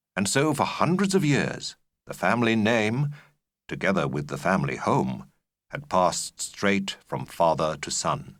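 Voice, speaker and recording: A man at a fairly low pitch with vocal fry, at a moderate pace, on a very clean recording with a silent background. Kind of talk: audiobook narration of a graded reader. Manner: measured, clear pacing for learners.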